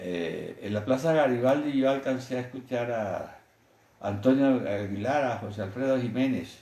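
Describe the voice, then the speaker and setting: Audible room echo surrounds a man talking at a fairly slow pace. His pitch sits in the medium range. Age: 70s. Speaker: physician. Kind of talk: interview, storytelling.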